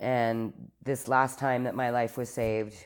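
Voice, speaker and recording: With an Albertan accent, a woman speaks at a very deep, low pitch. Her pace is fairly slow. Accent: Canadian (Alberta). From Calgary, Alberta, Canada. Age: 40s. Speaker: recovering alcoholic sharing her story. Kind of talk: personal testimony in casual interview.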